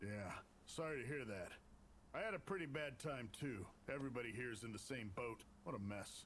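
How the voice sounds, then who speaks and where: Putting on a character voice, a man speaks at a medium pitch and a fairly quick pace with long, frequent pauses over clear background noise. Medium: fan dub. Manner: casual, folksy.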